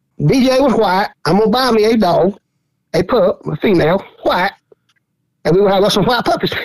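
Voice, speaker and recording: A high-pitched man with a Southern Georgia accent, lively intonation, a moderate pace and long, frequent pauses. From US South, southeast Georgia. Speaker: squirrel dog hunter. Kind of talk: casual chat.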